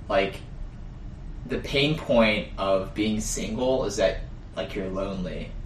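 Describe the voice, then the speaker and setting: In a room with audible echo, a man with a fairly low voice talks at a very slow pace, leaving long, frequent pauses. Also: ordinary pitch variation. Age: 20s. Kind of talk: casual chat.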